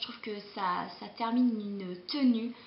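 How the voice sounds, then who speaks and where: A woman speaks in a fairly high pitch with ordinary variation. Room echo is audible. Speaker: beauty vlogger. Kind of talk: casual vlog monologue. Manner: hesitant, many fillers.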